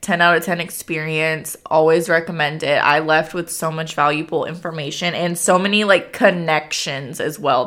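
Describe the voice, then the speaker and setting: A woman speaks in a normal speaking voice with an American accent. Her pitch sits fairly low, her pace is moderate, and her intonation stays fairly even. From Pasadena, Texas. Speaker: podcast host. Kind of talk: casual chat.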